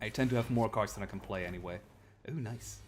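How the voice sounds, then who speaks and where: A man with a German accent, fairly low in pitch, at a fairly quick pace with ordinary pitch variation, music playing in the background. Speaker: video game streamer. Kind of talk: gameplay commentary. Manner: halting, many fillers.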